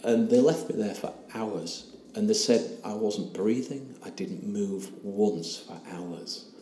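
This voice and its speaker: A man speaking at a very slow pace, with noticeable background noise. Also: big swings in loudness. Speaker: ayahuasca retreat participant telling his story. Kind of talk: personal testimony, interview.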